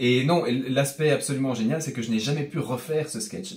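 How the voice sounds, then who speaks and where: A man with a slight Belgian accent talks at a fairly quick pace and a medium pitch. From Belgium, Brussels. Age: young. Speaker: comedian. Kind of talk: interview. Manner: hesitant, with fillers.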